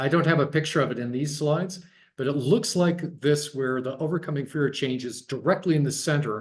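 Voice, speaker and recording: Somewhat breathy and fairly high in pitch, a man talks at a fairly quick pace. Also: ordinary pitch variation. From US Midwest, Dayton Ohio. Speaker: guest speaker, design researcher. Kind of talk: online talk, discussion of own work. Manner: halting, many repeated words and fillers.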